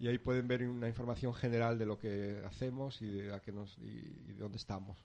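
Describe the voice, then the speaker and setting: A dark, mellow tone in a peninsular Spanish accent, at a fairly quick pace with fairly even intonation. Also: man, medium pitch for a man. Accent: peninsular Spanish, noticeable. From Asturias, Spain. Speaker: organic farm project founder. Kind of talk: interview.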